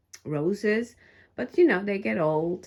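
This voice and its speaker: A soft-spoken woman talks at a fairly slow pace with a non-native accent. Her intonation is lively. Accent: foreign. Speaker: crafter and YouTuber. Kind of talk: studio tour vlog. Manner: halting, many fillers.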